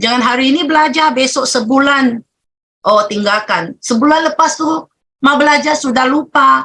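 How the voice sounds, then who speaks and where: Her voice is high-pitched, bright and sharp, raised and projected. The woman talks at a moderate pace with ordinary pitch variation. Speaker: business leader. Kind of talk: motivational talk. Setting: video call.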